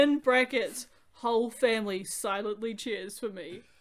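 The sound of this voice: This is an unforced reading voice. The words are read aloud in it.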